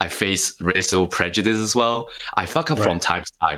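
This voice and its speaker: A man with a Hong Kong accent speaks at a moderate pace in a bright, sharp tone. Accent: Hong Kong Cantonese-accented English. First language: Cantonese. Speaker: author and speaker. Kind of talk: interview.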